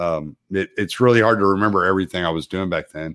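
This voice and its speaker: In an ordinary speaking voice, a man with an American accent talks at a fairly quick pace, fairly low in pitch with ordinary pitch variation, the sound dry and close with no echo on a very clean recording with a silent background. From Texas. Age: 40s. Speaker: truck driver and military veteran. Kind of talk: casual chat.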